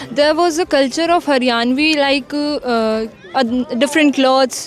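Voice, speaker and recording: Fairly even intonation over noticeable background noise. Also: woman. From Haryana, India. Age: young. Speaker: university student. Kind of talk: interview answer.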